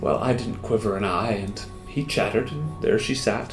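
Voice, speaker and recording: Over clear background music and audible room echo, a man talks at a fairly slow pace. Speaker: actor. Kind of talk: dramatic poetry reading. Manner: expressive, dramatic. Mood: wistful, tender. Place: home room. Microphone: lapel.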